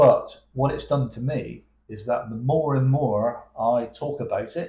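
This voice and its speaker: This man has a West Country accent and talks at a fairly slow pace. His volume swings in big jumps. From England, Plymouth. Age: 60s. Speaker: abuse survivor sharing his story. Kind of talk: emotional testimony in interview. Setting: cafe. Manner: halting, with repetitions.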